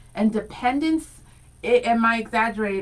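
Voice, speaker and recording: A woman with a medium pitch talks at a fairly quick pace in an animated tone, with ordinary pitch variation and noticeable background noise. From Rhode Island, US (born Dominican Republic). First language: Spanish. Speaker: radio co-host. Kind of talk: casual chat.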